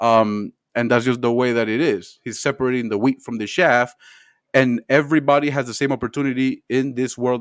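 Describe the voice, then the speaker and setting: Dry and close with no echo, a normal speaking voice goes at a fairly quick pace against a quiet background. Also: man. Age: 30s. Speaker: entertainment YouTuber. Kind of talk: casual chat.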